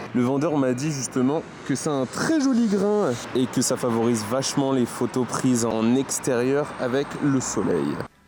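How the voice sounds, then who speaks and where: Over noticeable background noise, a man talks at a very even loudness. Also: medium pitch for a man, ordinary pitch variation, fairly slow pace. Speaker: photography vlogger. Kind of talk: casual vlog.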